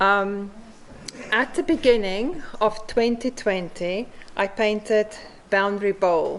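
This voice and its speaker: With a South African accent, the speaker goes at a very slow pace, leaving long, frequent pauses and using ordinary pitch variation. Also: woman, fairly high pitch for a woman. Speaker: mosaic artist. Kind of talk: conference talk.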